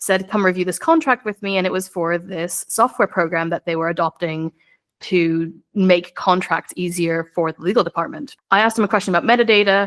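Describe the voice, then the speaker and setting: With an American accent, a woman talks at a fairly quick pace in a medium pitch and fairly even intonation, on a very clean recording with a silent background. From United States. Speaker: lawyer. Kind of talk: podcast interview.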